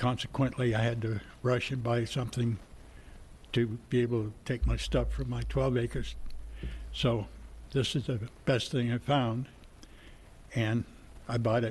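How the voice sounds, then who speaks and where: Somewhat breathy and monotone, a man speaks at a moderate pace, broken by long, frequent pauses. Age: 80s+. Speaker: respondent at code enforcement hearing. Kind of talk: testimony.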